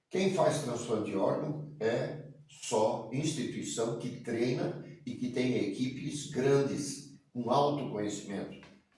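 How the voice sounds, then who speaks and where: With audible room echo, a man at a medium pitch speaks at a very slow pace with ordinary pitch variation. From Santa Catarina, Brazil (Blumenau). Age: 60s. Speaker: state politician and physician. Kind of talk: interview. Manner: hesitant, with fillers.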